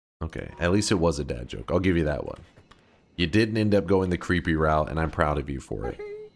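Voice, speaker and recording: This man has an American accent and a very deep, low voice. His intonation is lively, with vocal fry. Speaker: gaming streamer. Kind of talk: live gameplay commentary. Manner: casual, joking.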